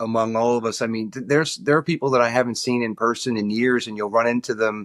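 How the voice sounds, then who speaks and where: A man talks with a New York accent. The sound is dry and close, with no echo. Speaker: lobbyist. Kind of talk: casual interview chat. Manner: halting, repeats words.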